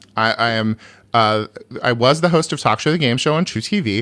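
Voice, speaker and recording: At a fairly quick pace, a man with an American accent speaks at a medium pitch in a bright, sharp tone. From US, rural California. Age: 40s. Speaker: stand-up comedian. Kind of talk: casual interview chat.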